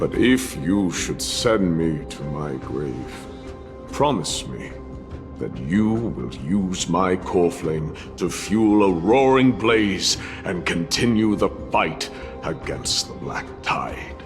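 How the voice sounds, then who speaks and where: Over loud music in the background, a man puts on a character voice with a very deep, low pitch. He speaks at a very slow pace. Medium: game stream. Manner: solemn, measured.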